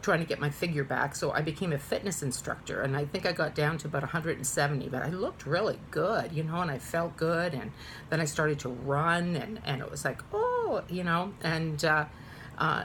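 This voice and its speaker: Over noticeable background noise, a woman talks in a very deep, low pitch with ordinary pitch variation. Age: 50s. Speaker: vlogger. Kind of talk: casual chat. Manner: halting; talkative.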